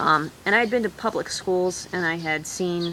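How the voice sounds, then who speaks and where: Over noticeable background noise, a woman talks in a fairly low pitch. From mixed British-American, raised largely in France. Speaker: vlogger, unschooling parent. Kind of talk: casual vlog talk. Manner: halting, many fillers.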